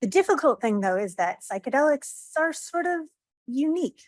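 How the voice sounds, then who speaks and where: Against a quiet background, a woman talks with very wide pitch swings. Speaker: government drug regulator. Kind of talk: conference talk. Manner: fast.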